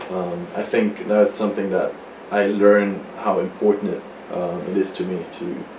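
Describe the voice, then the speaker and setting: The speech has a moderate pace and fairly even intonation. Noticeable background noise and audible room echo are present. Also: man, fairly low pitch for a man. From Germany, Freiburg. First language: German. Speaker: college athlete. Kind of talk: interview.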